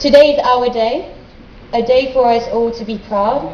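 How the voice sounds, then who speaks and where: A woman speaks in a high pitch with fairly even intonation. Audible room echo and noticeable background noise fill the recording. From France. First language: French. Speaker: graduate student. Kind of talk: speech. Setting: stage with audience. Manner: formal.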